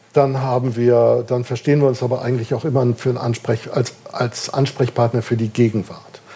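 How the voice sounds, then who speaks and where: Over noticeable background noise, a man speaks at medium pitch and a moderate pace, with monotone, flat intonation and hardly any pauses. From northern Germany, Kiel. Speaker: jazz musicologist, institute director. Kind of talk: interview before live audience. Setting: bar with live audience.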